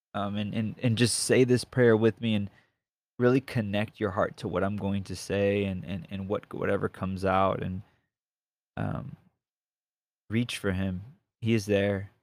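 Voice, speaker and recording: A man's fairly low voice with fairly even intonation, at a fairly slow pace with long, frequent pauses, on a very clean recording with a silent background. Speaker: podcaster who prays with listeners. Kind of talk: fervent spoken prayer, led aloud for listeners. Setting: solo podcast recording. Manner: impassioned, pleading, rhythmic, repetitive; casual, halting, with filler words when talking.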